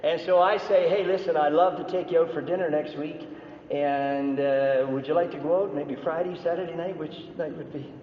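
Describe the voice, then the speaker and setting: Audible room echo and noticeable background noise fill the recording. Through them a man talks at a moderate pace. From Canada. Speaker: business speaker. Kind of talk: seminar talk. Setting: stage with audience. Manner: animated.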